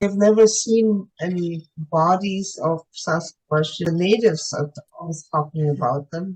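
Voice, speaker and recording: Fairly slow and somewhat breathy, a woman speaks at a fairly low pitch with ordinary pitch variation. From Germany. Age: 80s+. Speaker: UFO contactee. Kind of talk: interview testimony. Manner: halting.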